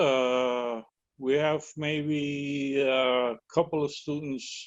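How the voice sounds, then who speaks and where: A man of medium pitch speaks with a Puerto Rican accent. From Puerto Rico. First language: Spanish. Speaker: educator. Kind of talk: webinar discussion. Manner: halting.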